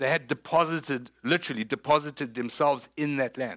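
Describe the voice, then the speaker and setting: With a South African accent, a man speaks at a fairly high pitch in a dry, close sound with no echo on a very clean recording with a silent background. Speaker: pastor. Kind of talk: sermon. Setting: church.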